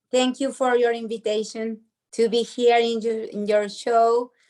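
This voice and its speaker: With a Spanish accent, a woman speaks at a fairly high pitch and a moderate pace in a monotone, flat delivery, recorded very cleanly against a silent background. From Argentina, Buenos Aires. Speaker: podcast host. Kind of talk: interview. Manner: halting.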